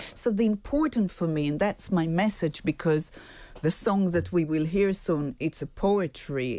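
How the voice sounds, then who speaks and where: A woman's fairly low, dark, mellow voice with an Israeli accent, lively intonation and a moderate pace, in a very clean recording with a silent background. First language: Hebrew. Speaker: singer-songwriter. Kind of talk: radio interview.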